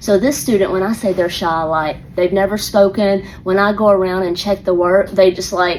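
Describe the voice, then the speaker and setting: A woman with an Atlanta accent speaks at a fairly quick pace and a medium pitch. Noticeable background noise runs behind her. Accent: Southern US (Atlanta). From US South, Atlanta. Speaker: elementary school teacher. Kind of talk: casual storytelling monologue. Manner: animated.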